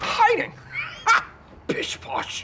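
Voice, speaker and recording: Someone is shouting in a put-on character voice. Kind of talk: fancy, posh. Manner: haughty, mock-posh.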